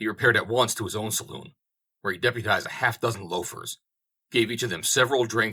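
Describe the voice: Quiet background behind plain reading aloud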